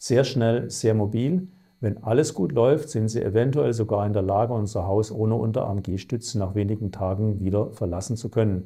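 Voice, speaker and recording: Over a quiet background, a man talks at a fairly quick pace in a fairly low pitch with ordinary pitch variation. His voice is somewhat breathy, with a dark, mellow tone. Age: 50s. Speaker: chief surgeon. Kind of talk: self-presentation for clinic video. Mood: calm, professional. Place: office. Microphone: lapel.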